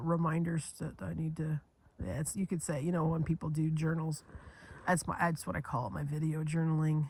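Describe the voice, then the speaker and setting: A woman speaks at a fairly low pitch in a somewhat breathy voice. Her pace is moderate. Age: 50s. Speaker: video journaling vlogger. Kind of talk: casual monologue vlog. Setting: lounge chair at home, sunny spot. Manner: halting, repetitive false starts.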